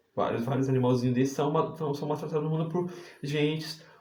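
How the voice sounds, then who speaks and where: There is audible room echo around a man with a fairly high pitch. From Brazil, Santa Catarina. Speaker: preacher. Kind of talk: sermon. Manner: animated.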